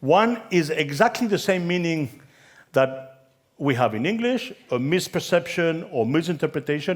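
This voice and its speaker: Lively intonation runs through this voice with a Spanish accent. The pace is moderate. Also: man, fairly high pitch for a man. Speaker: conference keynote speaker on branding. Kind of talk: conference talk.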